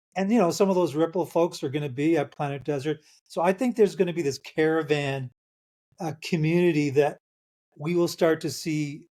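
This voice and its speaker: Over a very clean recording with a silent background, a dark, mellow tone moves at a fairly quick pace with ordinary pitch variation. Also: man, fairly high pitch for a man. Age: 60s. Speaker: author. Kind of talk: casual chat.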